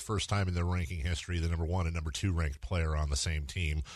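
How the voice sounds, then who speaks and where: A man with a very deep, low pitch talks at a very fast pace in a playful tone. He sounds somewhat breathy against a quiet background. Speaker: radio host. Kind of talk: casual radio interview. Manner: joking, playful.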